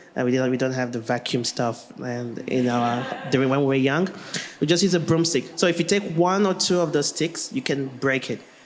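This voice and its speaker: Noticeable background noise behind a fairly quick-talking man with a fairly high pitch and ordinary pitch variation. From Nigeria. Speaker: language technology researcher. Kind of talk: panel discussion.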